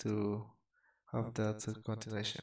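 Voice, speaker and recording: A man speaks quietly. His tone is dark and mellow. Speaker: crypto trader and market commentator. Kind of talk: chart analysis tutorial. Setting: at home, late at night. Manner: quiet, keeping voice down; halting, many fillers and repeats.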